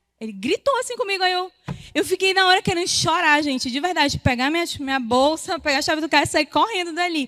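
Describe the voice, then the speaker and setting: A loud woman with an extremely high pitch and lively intonation, fairly quick, in a dry, close sound with no echo. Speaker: women's ministry speaker. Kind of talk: sermon. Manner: fast.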